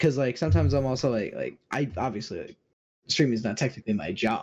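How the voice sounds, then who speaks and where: Somewhat breathy speech runs at a very fast pace with ordinary pitch variation. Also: man, medium pitch for a man. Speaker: streamer. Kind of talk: casual interview chat. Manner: stutters often.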